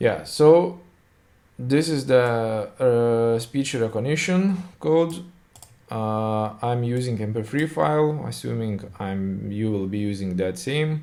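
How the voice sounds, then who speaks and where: With a Lithuanian accent, this man talks at a very slow pace, his medium-pitched voice dark and mellow in tone, with lively intonation. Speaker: software tutorial creator. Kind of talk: tutorial. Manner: halting, many fillers.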